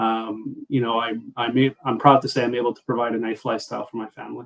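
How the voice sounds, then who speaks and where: In a Montreal accent, the speaker rushes along at a very fast pace with monotone, flat intonation. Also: man. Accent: Montreal English Canadian. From Canada, Montreal Quebec. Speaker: business coach. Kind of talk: podcast interview.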